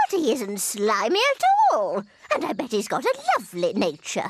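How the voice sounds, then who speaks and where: A woman's cartoonish character voice, high-pitched, at a moderate pace. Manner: brisk, spirited.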